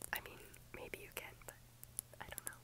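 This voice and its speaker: A woman whispering in a gentle tone. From United States. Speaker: ASMR creator. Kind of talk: ASMR rambling chat to camera. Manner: soft, gentle, friendly. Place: home room. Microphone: phone near.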